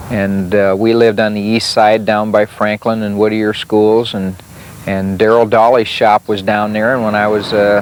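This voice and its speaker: Noticeable background noise sits behind a man with an Upper Midwest accent and a fairly low pitch. He talks at a moderate pace in a monotone, flat intonation. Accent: Upper Midwest American. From South Dakota, Sioux Falls. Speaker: retired sprint car racer. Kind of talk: interview storytelling. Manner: hesitant, many fillers.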